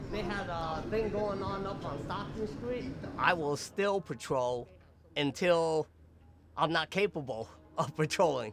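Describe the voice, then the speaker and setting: A man speaks in an American accent with lively intonation. He leaves long, frequent pauses over noticeable background noise. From US West, San Francisco Chinatown. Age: 60s. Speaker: community volunteer patrol and lion dancer. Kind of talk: documentary interview; casual chat on patrol.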